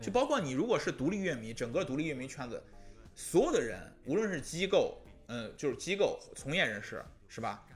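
A man's high-pitched voice at a fairly quick pace, with very wide pitch swings and music in the background. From northern China (Hebei, Shijiazhuang). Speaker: music magazine editor. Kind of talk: casual chat. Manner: hesitant, many fillers.

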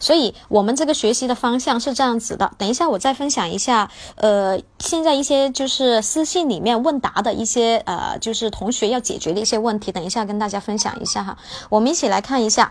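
A woman with an unremarkable speaking voice talks in a fairly high pitch with lively intonation. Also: fairly quick pace. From Guangzhou, China. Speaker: English teacher. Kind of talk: livestream lesson. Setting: livestream.

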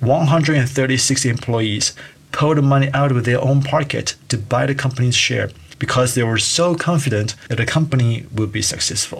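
Noticeable background noise runs behind this recording. A man of medium pitch talks at a moderate pace with fairly even intonation. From Taiwan. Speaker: podcast host, startup entrepreneur. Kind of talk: podcast monologue.

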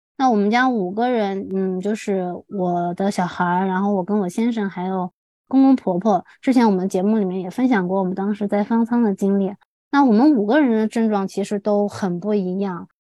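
A woman speaks at a moderate pace and a medium pitch. Her tone is dark and mellow, and her intonation stays fairly even. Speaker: podcast co-host, mother. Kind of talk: casual chat.

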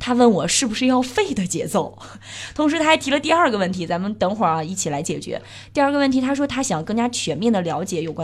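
Her pitch leaping very widely, a woman speaks at a fairly quick pace. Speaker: cycling podcast host. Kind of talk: casual chat.

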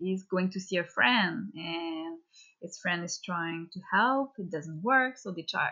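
The speaker talks at a fairly slow pace with a Quebec accent. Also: woman. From Quebec, Canada. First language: French. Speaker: children's book illustrator. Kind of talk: interview. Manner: halting.

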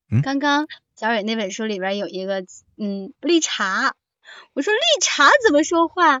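A high-pitched woman's voice at a fairly slow pace, with very wide pitch swings. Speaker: audiobook narrator. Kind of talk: casual chat. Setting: livestream mic link.

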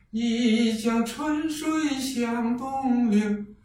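Noticeable background noise sits in the clip along with audible room echo. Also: man. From Fuyang, Zhejiang. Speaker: folk performing arts enthusiast and artist. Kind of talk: casual chat.

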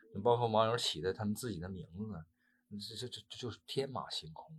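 A man's medium-pitched, somewhat breathy voice with lively intonation at a moderate pace. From Northeast China. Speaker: actor. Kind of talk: interview. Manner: halting.

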